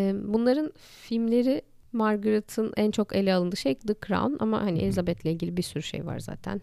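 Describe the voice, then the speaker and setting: A woman's medium-pitched voice with a dark, mellow tone, lively intonation and a moderate pace. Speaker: podcast co-host. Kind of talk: casual chat.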